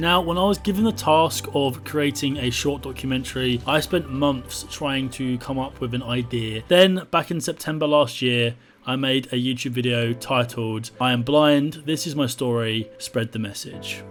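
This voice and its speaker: A man with an English accent talks at a moderate pace and a medium pitch, his pitch varying in an ordinary way, with hardly any pauses and music playing in the background. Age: 20s. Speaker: blind YouTuber making a documentary. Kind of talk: personal testimony; documentary narration.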